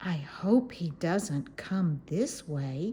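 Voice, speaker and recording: Using a put-on character voice at a fairly low pitch, a woman speaks over clear background noise. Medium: read story. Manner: quiet, whispered.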